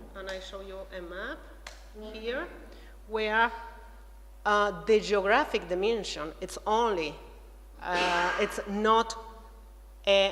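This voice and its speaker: A woman's medium-pitched voice at a very slow pace, long, frequent pauses, ordinary pitch variation, audible room echo and noticeable background noise. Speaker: researcher, art theorist. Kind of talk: conference talk. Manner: halting, many fillers.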